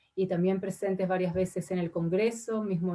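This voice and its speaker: A woman speaks at a moderate pace with a fairly low pitch and fairly even intonation. Her tone is dark, mellow, and somewhat breathy. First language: not Spanish (Spanish is her third language) (speaking Spanish). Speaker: ambassador. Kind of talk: formal testimony before senate committee. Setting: senate committee session. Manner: hesitant, many fillers.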